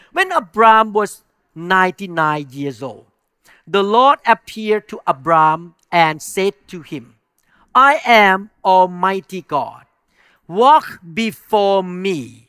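A man with a strong non-native accent uses a raised, projected voice with a bright, sharp tone. The recording is very clean and the background silent. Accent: strong foreign accent in English. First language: not English. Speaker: pastor. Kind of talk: sermon. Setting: church. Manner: animated.

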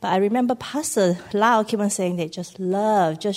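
A woman talks at a moderate pace in a plain, everyday voice with ordinary pitch variation. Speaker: church member giving testimony. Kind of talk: testimony. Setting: church.

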